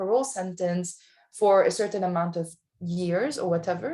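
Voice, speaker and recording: A woman with a non-native accent, medium in pitch, at a moderate pace with fairly even intonation. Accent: foreign. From outside the US. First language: not English. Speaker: lawyer. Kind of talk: panel discussion. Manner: halting.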